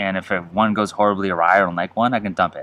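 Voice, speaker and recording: Mumbling at a fairly quick pace, a man with a very deep, low pitch has a bright, sharp tone. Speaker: homebrewer reviewing own beer. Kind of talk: casual tasting review. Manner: fast.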